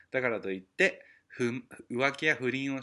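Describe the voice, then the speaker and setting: The background stays quiet. A man talks in a bright, sharp tone. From Japan. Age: 30s. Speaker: podcast host. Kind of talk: casual solo monologue. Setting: at home. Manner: animated.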